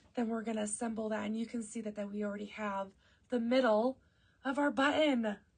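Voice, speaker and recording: A woman's fairly high, somewhat breathy voice. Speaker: quilting instructor. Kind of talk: casual tutorial talk to camera. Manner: upbeat, humorous.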